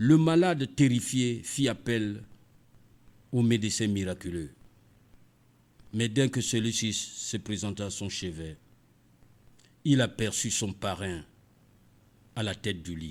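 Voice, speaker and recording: The speech moves at a very slow pace with lively intonation and long, frequent pauses. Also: man, fairly low pitch for a man. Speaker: radio storyteller. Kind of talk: read story. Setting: studio.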